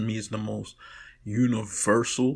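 Speaking with a New York accent, a man uses a medium pitch, vocal fry and a monotone, flat intonation. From New York, Brooklyn. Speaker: podcaster. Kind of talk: recorded monologue.

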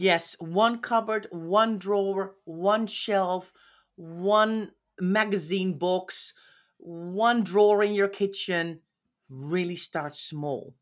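A woman reads at a very slow pace with a Dutch accent, her pitch at a medium level. Her pitch variation is ordinary, and the recording is very clean with a silent background. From Netherlands. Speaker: professional organizer. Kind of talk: interview. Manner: direct.

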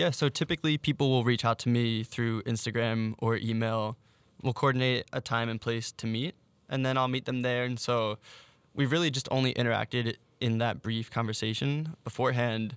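In a normal speaking voice, a man with an American accent talks at a medium pitch with fairly even intonation, and the sound is dry and close, with no echo. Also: moderate pace, very clean recording, silent background. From Philadelphia suburbs, US. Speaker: Instagram storyteller. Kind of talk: interview.

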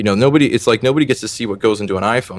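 A man's voice sits at a medium pitch and moves up and down in an ordinary way. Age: 20s. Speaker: personal trainer. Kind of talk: interview. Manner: concise and clear.

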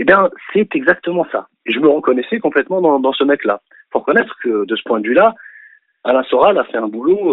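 Pitched high for a man, his voice moves at a fairly quick pace, with very wide pitch swings and big swings in loudness. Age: 40s. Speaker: activist and art teacher. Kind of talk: phone-in interview. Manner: halting.

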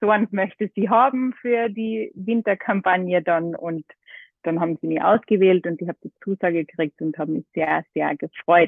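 A woman speaks in an ordinary speaking voice, medium in pitch, at a moderate pace with ordinary pitch variation. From Austria, Carinthia (half Greek). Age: 30s. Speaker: model and yoga teacher. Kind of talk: casual chat. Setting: phone call.

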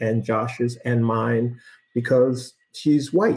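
This man's voice sits at a medium pitch and sounds somewhat breathy. His intonation stays fairly even. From US, Boston. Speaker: lead diver, former fire investigator. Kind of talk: interview.

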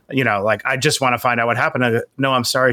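A man with an American accent. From Queens, New York. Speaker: entrepreneur and author. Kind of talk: interview.

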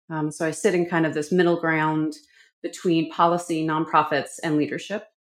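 A woman with a slight Canadian accent speaks at a moderate pace in a fairly low voice, her intonation monotone and flat, on a very clean recording with a silent background. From Vancouver, Canada. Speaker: communications consultant and professor. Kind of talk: interview.

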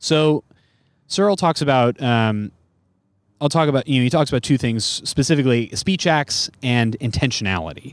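A man with an American accent speaks at a fairly quick pace in a medium pitch, using a normal speaking voice on a very clean recording with a silent background. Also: dry, close sound with no echo. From US West Coast, San Francisco Bay Area. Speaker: stand-up comedian. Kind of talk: casual chat.

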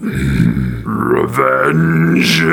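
A man performs a put-on character voice. It comes out rumbling.

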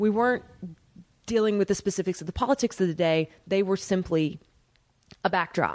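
Using an ordinary speaking voice, a woman with an American accent talks at a medium pitch with ordinary pitch variation. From Oklahoma. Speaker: Broadway actress and singer. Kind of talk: casual chat.

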